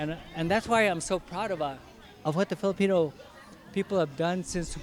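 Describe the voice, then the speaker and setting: Music plays in the background as a man speaks in a high pitch with ordinary pitch variation. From Philippines. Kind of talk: interview answer.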